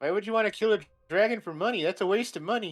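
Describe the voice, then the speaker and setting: Putting on a character voice, a man rattles along at a very fast pace with a high pitch. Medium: actual play. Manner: confused.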